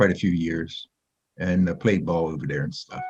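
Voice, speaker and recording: A very deep, low male voice in an American accent. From southern New Jersey. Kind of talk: casual chat. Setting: video call.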